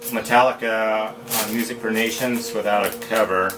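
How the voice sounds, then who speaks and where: Music plays in the background, and audible room echo surrounds the voice. The intonation stays fairly even. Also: man. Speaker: record collector video host. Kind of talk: casual unboxing commentary.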